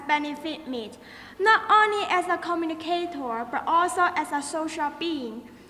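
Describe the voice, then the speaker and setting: A woman uses a raised, projected voice at an extremely high pitch with ordinary pitch variation. Her pace is fairly slow. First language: Chinese. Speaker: student. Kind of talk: speech.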